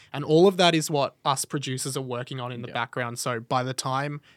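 An Australian accent at a fairly quick pace with fairly even intonation, on a very clean recording with a silent background. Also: man. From Melbourne, Australia. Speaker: radio and podcast presenter. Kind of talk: casual interview chat. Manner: exuberant.

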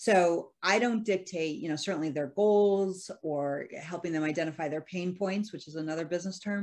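Here a woman has a normal speaking voice, pitched fairly low. Her pace is moderate and her pitch varies in an ordinary way. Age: 50s. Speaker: cognitive-behavioral coach and psychologist. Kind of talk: interview.

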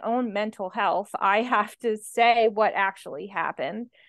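A woman's normal speaking voice with an American accent, fairly high-pitched, at a moderate pace against a quiet background. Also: hardly any pauses. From New Jersey, Atlantic City area. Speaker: grief survivor, educator. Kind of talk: interview testimony.

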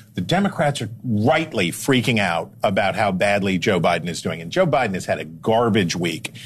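Someone with a plain, everyday voice speaks at a fairly quick pace with lively intonation. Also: man. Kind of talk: TV news panel discussion.

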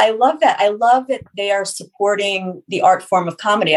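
Pitch varies in an ordinary way in this unremarkable speaking voice. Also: woman. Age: 40s. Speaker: podcast host and interviewer. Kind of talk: casual interview chat.

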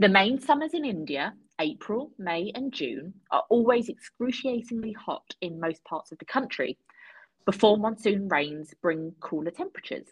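A breathy-edged woman's voice with a British accent, fairly high in pitch, with very wide pitch swings and big swings in loudness. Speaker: podcast guest. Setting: video call.

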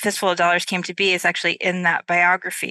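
The voice has a bright, sharp tone and speaks with an American accent against a quiet background. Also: woman, dry, close sound with no echo. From upstate New York. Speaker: novelist. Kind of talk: casual interview chat. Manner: hesitant with many fillers.

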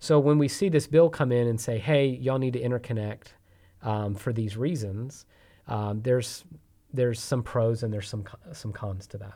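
On a very clean recording with a silent background, a man speaks with a Texan accent at a medium pitch and ordinary pitch variation. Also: moderate pace. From Texas. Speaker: energy company executive. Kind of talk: interview.

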